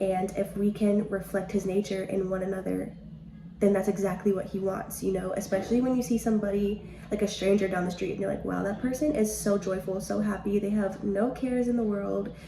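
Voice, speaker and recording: A woman with a medium pitch speaks at a fairly quick pace in a monotone with flat intonation. Noticeable background noise and audible room echo fill the recording. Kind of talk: devotional podcast talk. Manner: fast; casual, chatty.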